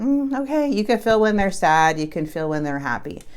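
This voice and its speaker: Audible room echo surrounds a woman speaking in an animated tone, with very wide pitch swings. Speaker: tarot reader. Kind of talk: tarot reading monologue.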